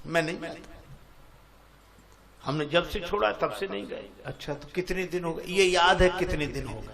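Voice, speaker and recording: This is a man speaking. His pitch is high. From Etah, Uttar Pradesh, India. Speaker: Ramayana discourse preacher. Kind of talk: religious discourse.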